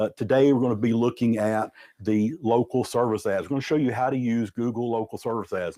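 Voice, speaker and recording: Speaking at a fairly quick pace with a Southern US accent, a man has a medium pitch, ordinary pitch variation and a dark, mellow tone, recorded dry and close with no echo. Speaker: business consultant. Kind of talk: webinar presentation. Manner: fast; repetitive fillers.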